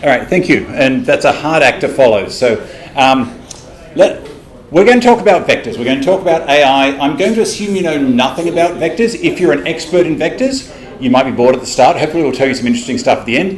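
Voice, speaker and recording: A man with an Australian accent talks very fast at a fairly high pitch, with very wide pitch swings. Audible room echo and noticeable background noise are present. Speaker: tech company developer advocate presenting. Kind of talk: technical presentation. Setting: stage with live audience. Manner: fast, animated.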